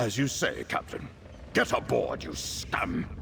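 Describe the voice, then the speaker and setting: A man's growling, put-on character voice at a fairly slow pace. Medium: video game.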